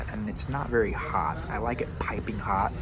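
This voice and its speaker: The quiet voice comes at a moderate pace, with audible room echo and noticeable background noise. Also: man. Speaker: food vlogger. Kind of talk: casual food review vlog. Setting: outdoor restaurant patio. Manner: talking quietly.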